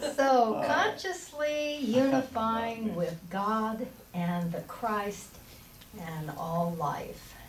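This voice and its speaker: Amid noticeable background noise and audible room echo, a woman with a fairly high voice speaks at a very slow pace with very wide pitch swings. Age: old. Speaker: minister. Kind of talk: sermon. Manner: halting.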